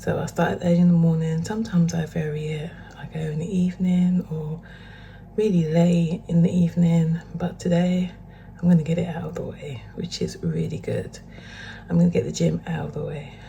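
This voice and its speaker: A woman with a British accent speaks quietly at a fairly quick pace, her pitch fairly low and her intonation monotone and flat, with big swings in loudness and noticeable background noise. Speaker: fitness vlogger. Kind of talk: casual vlog talk to camera. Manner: hesitant, with fillers; quiet, low voice.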